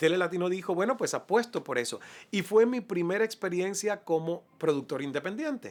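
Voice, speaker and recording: Delivered at a moderate speed, the speech comes through a very clean recording against total silence. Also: man. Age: 40s. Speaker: TV news anchor and interviewer. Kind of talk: speech to an audience; interview, personal story.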